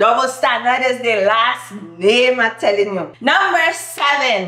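With music in the background and audible room echo, a woman speaks in a high pitch at a fairly slow pace. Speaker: YouTuber. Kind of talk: casual talk to camera. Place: home room. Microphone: camera far.

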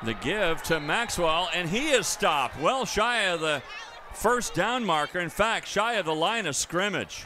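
Noticeable background noise accompanies a man speaking at a fairly slow pace. His pitch is high and his intonation lively. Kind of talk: live football play-by-play commentary.

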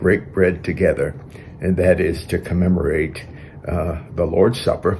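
A man's very deep, low voice at a moderate pace over light background noise. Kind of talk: sermon. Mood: calm, reverent. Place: home room. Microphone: webcam.

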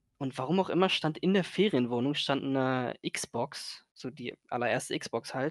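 Against a quiet background with dry, echo-free sound, a man speaks at a moderate pace with hardly any pauses. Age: 20s. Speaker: gaming content creator. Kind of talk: casual interview. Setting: voice-only call, no camera. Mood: relaxed, casual. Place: home room.

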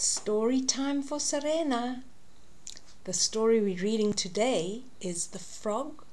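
A somewhat breathy woman's voice, very slow in pace, with lively intonation. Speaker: storyteller reading to a child. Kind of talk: children's story read-aloud. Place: home room. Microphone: webcam.

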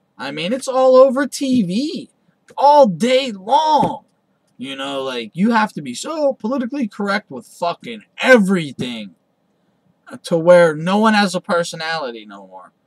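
Against a quiet background, a man with an American accent speaks fairly slowly in a high voice, with very wide pitch swings and big swings in loudness. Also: dry sound with no echo. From United States. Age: 30s. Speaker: boxing commentator. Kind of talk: casual monologue. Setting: home recording. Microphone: webcam.

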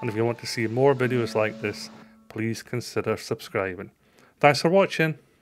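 In a Scottish accent, a man speaks at a moderate pace with ordinary pitch variation against light background noise. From Scotland. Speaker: travel vlogger. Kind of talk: travel vlog narration and casual chat; casual vlog chat. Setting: outdoors at a mountain restaurant. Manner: enthusiastic, animated. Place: street. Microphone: phone near.

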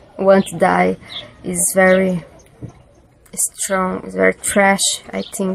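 A woman with a Brazilian accent speaks over light background noise. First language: Portuguese. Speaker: video blogger. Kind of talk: personal vlog monologue on depression. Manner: halting, searching for words; emotional, sincere, laughs often. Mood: serious, thoughtful. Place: home room. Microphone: webcam.

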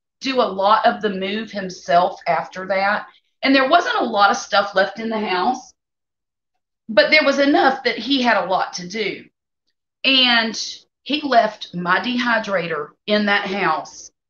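A woman speaks at a fairly slow pace in a bright, sharp tone. Audible room echo surrounds her, with light background noise. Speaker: home cook streamer. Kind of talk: casual live stream chat. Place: kitchen. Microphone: phone near.

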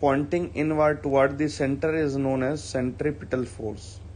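This voice is somewhat breathy, with an Indian accent. It moves at a fairly slow pace. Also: man. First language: Hindi. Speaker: school physics teacher. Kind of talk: online class lecture. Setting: online video lecture. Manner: hesitant, frequent fillers.

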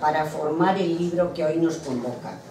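The pace is fairly slow. Background noise is noticeable. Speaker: event speaker and poem reader. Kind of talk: opening speech, then poetry reading. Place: hall. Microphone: camera far.

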